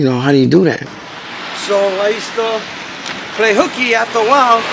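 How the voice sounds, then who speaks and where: Amid noticeable background noise, the voice races at a very fast pace with very wide pitch swings. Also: man. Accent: New York. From New York City, Brooklyn. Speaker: pigeon keeper. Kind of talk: casual chat.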